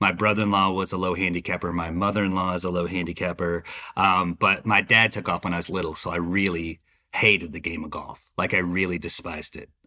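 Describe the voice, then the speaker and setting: A man with an American accent, very deep and low in pitch, with a bright, sharp tone, monotone and flat intonation, a very fast pace, and a very clean recording with a silent background. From Dallas, Texas. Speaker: chef. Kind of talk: casual interview.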